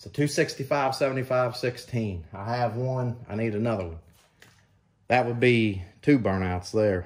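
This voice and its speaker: A man talks at a very slow pace in a somewhat breathy voice. His loudness swings a lot, while his pitch varies in an ordinary way. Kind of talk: casual vlog chat. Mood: relaxed, joking. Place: garage. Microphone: camera far.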